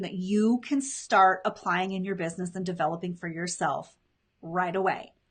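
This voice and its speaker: Her pitch sits in the medium range, a touch breathy. This woman talks at a moderate pace. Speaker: business coach. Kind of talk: live stream. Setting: live video stream. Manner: animated.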